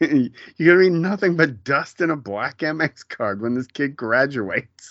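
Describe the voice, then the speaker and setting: A man speaks in an ordinary speaking voice at a moderate pace. His pitch is fairly high, with lively intonation. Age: 40s. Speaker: TV show recap podcaster. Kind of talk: casual chat.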